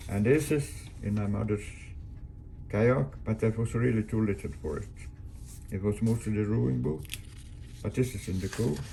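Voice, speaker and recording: The speaker has a Swedish accent. The pace is moderate. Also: man. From Sweden, Göteborg archipelago. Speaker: sailor. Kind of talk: casual storytelling. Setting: showing pictures.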